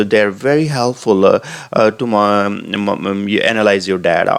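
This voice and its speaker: This man has an American accent and a fairly low pitch, speaking at a moderate pace with fairly even intonation. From South Asia (India or Pakistan). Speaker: tech tutorial creator. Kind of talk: tutorial. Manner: halting, many fillers.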